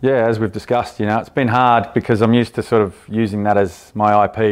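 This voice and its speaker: With an Australian accent, a man speaks at a fairly quick pace in a fairly low pitch, his intonation monotone and flat. The recording is very clean, with a silent background. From Australia, Canberra. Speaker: buyer's agent and property investor. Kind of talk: interview.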